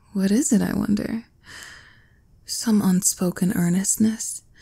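On a very clean recording with a silent background, a woman speaks at a fairly slow pace with a fairly high pitch and a dark, mellow, somewhat breathy tone. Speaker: ASMR roleplay performer. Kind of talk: ASMR roleplay, scripted performance as a cruel, haughty empress, intimate and teasing. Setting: close-mic ASMR recording, listener addressed as nearby. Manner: imperious, haughty, dripping with condescension, with smug laughs and sighs; slow, sultry and teasing, shifting to indulgent purring when she feeds and praises him.

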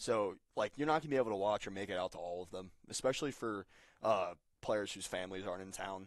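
Talking very fast with an American accent, a man with a fairly low voice shows ordinary pitch variation and big swings in loudness. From Cincinnati, Ohio. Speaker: baseball team producer and writer. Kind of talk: podcast interview. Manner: halting, repeats words.

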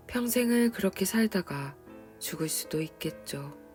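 With a calm tone, a woman's voice moves through very wide pitch swings. Music plays in the background. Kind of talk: reflective personal commentary on a book, spoken to the listener. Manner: quiet, calm, soft-spoken.

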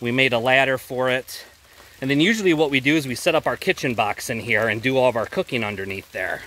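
Lively in intonation, a man speaks at a fairly quick pace in a dry sound with no echo. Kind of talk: casual walk-through tour. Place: forest. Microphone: phone near.

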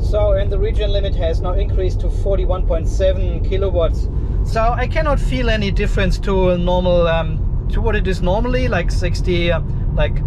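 A man talking at a fairly quick pace amid noticeable background noise. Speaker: car owner vlogger. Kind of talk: casual vlog chat. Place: car. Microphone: phone near.

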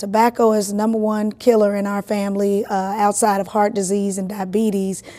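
Her voice at a medium pitch, a woman speaks at a moderate pace. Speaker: state legislator. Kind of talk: interview answer.

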